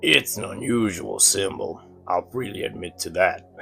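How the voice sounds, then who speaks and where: A man's raspy, put-on character voice against clear background noise. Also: moderate pace. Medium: read story. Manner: genial, smooth.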